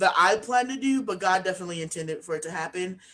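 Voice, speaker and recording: A woman's voice comes across with lively intonation and a bright, sharp tone. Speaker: author and speaking coach. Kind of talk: interview. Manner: mumbling at times; hesitant, many fillers.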